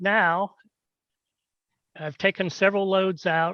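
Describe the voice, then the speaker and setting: Raising and projecting his high-pitched voice, a man speaks at a fairly slow pace, the sound dry and close with no echo. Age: 70s. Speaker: pharmacist. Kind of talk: disciplinary hearing testimony.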